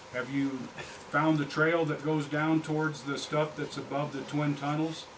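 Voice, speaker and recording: At a moderate pace, a man with an American accent speaks in a fairly high, monotone, flat voice, with noticeable background noise and audible room echo. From Colorado. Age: 60s. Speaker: fly fishing professional. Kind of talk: presentation to audience. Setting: fly shop presentation with audience. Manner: conversational, interactive.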